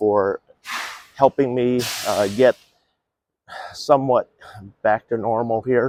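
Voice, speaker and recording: A man talks at a fairly slow pace with fairly even intonation, the sound dry and close without echo. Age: 60s. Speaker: homeless advocate and vlogger. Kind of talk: casual video walkthrough. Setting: outdoors. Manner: halting, many fillers.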